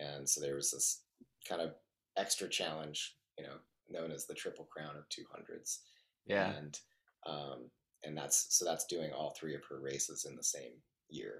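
A man with a Western US accent speaks at a moderate pace, with long, frequent pauses. His loudness rises and falls sharply. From Utah, Salt Lake City. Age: 40s. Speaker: ultra endurance athlete. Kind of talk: casual interview chat.

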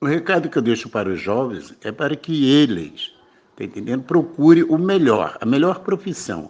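A man talks with very wide pitch swings and vocal fry against a quiet background. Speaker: veteran civil servant. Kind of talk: interview testimony.

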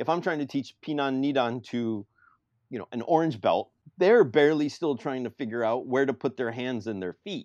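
An unremarkable speaking voice from a man, medium in pitch, with lively intonation at a moderate pace, dry and close with no echo over a quiet background. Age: 40s. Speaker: karate podcast co-host. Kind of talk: casual chat.

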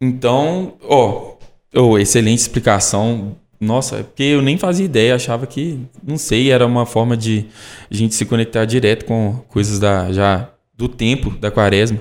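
On a very clean recording with a silent background, a man with an ordinary speaking voice talks at a medium pitch and moderate pace with ordinary pitch variation. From Brazil, Caeté, Minas Gerais. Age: 20s. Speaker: sanctuary staff member asking questions. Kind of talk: casual Q&A conversation.

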